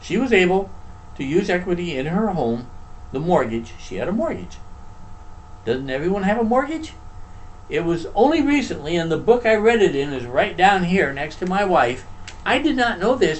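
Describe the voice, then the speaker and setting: A man's high-pitched voice with very wide pitch swings, moderate pace, long, frequent pauses, and audible room echo. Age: 70s. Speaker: retired social worker, show co-host. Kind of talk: casual chat.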